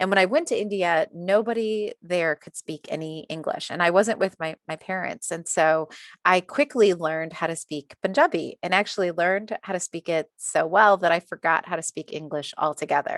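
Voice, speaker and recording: In a normal speaking voice with an American accent, a woman talks at a fairly low pitch and moderate pace, with hardly any pauses, in a dry, close sound with no echo. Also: ordinary pitch variation, quiet background. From USA. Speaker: diversity and inclusion consultant. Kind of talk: interview.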